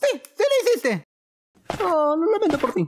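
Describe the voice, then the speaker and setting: A man at an extremely high pitch, talking at a moderate pace. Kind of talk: comic overacting. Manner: frantic, insecure, shouting.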